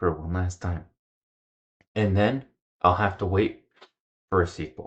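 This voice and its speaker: A quiet man with a fairly low pitch, at a moderate pace. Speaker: gaming video creator. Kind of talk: gameplay commentary. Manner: quiet, lowered volume; playful, joking.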